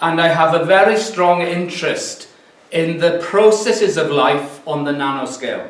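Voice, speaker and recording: Moderate pace and ordinary pitch variation in a Welsh accent, with noticeable background noise. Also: man, high pitch for a man. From mid Wales. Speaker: physics professor. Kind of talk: lecture. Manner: halting.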